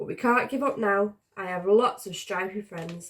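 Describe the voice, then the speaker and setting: Putting on a raspy character voice, a woman speaks at a moderate pace and a medium pitch. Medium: read story. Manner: eager, cheerful.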